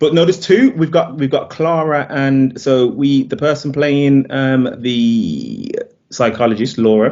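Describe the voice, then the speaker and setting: A man with a fairly high pitch and ordinary pitch variation, speaking at a fairly slow pace. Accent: British. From UK. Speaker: film director. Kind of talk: interview. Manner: halting, with fillers.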